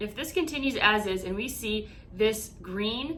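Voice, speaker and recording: A woman's fairly high voice, bright and sharp in tone, with audible room echo. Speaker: crypto investing YouTuber. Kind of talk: market analysis tutorial. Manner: stuttering, halting this morning.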